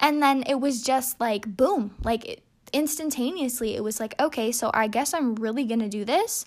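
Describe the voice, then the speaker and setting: With an animated tone, a woman speaks at a high pitch with ordinary pitch variation. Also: moderate pace. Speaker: podcast host. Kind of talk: casual monologue. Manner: halting.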